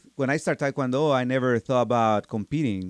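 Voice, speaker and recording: This man has a Mexican accent. His intonation is lively. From Mexico, Michoacan. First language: Spanish. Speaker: martial arts instructor. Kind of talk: interview. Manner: halting.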